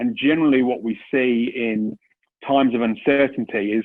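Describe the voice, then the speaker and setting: This man has a British accent. His pitch is medium. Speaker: commercial property investment director. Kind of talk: business presentation. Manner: hesitant, many fillers and restarts.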